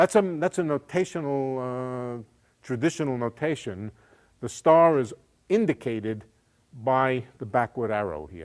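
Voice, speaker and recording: A man with an ordinary speaking voice and medium pitch talks at a fairly slow pace, with lively intonation and big swings in loudness. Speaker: physics professor. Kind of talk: lecture.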